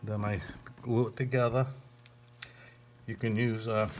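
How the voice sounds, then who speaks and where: A man speaks with fairly even intonation. Noticeable background noise sits behind him. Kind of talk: tutorial. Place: workshop. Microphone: phone near.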